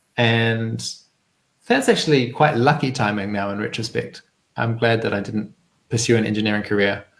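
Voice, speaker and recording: Delivered at a moderate pace with a New Zealand accent, the intonation stays fairly even. Long pauses come often. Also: man, medium pitch for a man. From New Zealand, rural. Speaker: community organizer. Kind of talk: interview. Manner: hesitant with many fillers.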